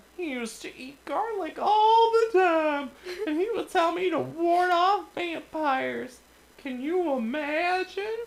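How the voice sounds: Putting on a squeaky character voice at an extremely high pitch, a man speaks at a fairly slow pace.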